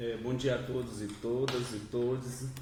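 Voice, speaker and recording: Noticeable background noise and an audible room echo accompany a man's speech. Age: young. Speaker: union youth secretary. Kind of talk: panel debate. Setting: studio panel with microphones.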